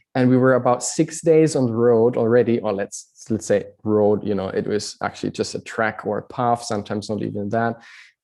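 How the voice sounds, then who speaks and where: Ordinary pitch variation marks a man's voice with a dark, mellow tone. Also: quiet background. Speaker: travel and adventure photographer. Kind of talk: online talk or webinar presentation. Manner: halting, many fillers.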